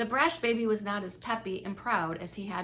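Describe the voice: Someone reads plainly aloud, the intonation fairly even.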